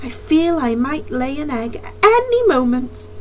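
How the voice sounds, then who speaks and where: In a put-on character voice, a woman speaks high for a woman at a fairly slow pace, with clear background noise. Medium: read story.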